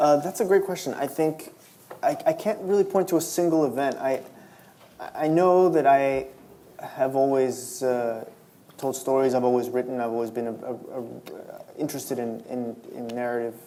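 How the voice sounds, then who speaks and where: A man's dark, mellow voice at medium pitch, with ordinary pitch variation, a moderate pace, long, frequent pauses and audible room echo. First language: Spanish. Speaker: novelist. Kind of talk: public interview at a library event. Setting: stage with audience. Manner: halting, many repetitions and fillers.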